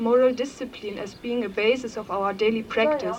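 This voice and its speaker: This woman's voice is high-pitched, with fairly even intonation, at a moderate pace. Room echo is audible and background noise is noticeable. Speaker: Buddhist nun speaking at a conference. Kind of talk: conference talk. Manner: halting, many fillers.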